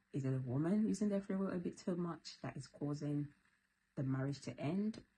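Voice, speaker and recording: A soft-spoken woman with a very deep, low voice talks at a moderate pace, her tone dark and mellow and somewhat breathy. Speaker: YouTuber. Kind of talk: casual vlog talk. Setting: at home at night. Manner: soft, low voice.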